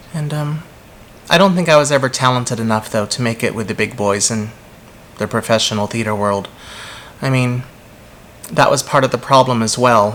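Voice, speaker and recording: Pausing long and often, a man talks at a moderate pace and medium pitch with ordinary pitch variation. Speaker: vlogger. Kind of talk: personal vlog monologue.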